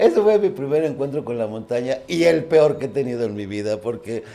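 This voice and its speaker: The voice has a dark, mellow tone with ordinary pitch variation. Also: man. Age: 60s. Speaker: mountaineer. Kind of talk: interview.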